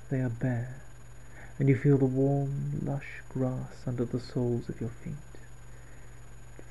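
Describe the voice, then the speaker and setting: A man is speaking. His pace is fairly slow. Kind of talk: softly spoken guided visualisation / relaxation script. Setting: home recording, late at night. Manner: soft-spoken, slow, calming.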